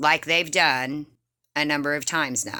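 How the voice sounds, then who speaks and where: A woman speaks in a stern tone at a fairly low pitch. Her tone is bright and sharp. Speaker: penny shopping YouTuber. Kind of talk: casual vlog talk.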